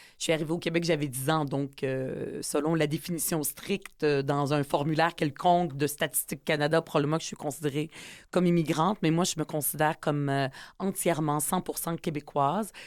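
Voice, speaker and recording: This woman talks at a fairly quick pace in a very deep, low voice with fairly even intonation, on a very clean recording with a silent background. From Quebec (Montreal, from age 10; born in UAE). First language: Arabic (speaking French). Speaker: politician and author. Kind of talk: interview. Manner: hesitant with many fillers.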